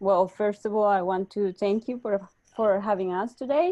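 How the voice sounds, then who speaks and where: In a Spanish accent, a woman speaks at a moderate pace over a quiet background. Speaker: startup executive. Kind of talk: webinar interview. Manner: halting.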